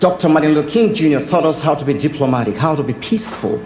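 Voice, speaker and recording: Over noticeable background noise, a man with a fairly high pitch talks at a very fast pace with very wide pitch swings. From Nigeria. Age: 40s. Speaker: artist. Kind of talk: speech.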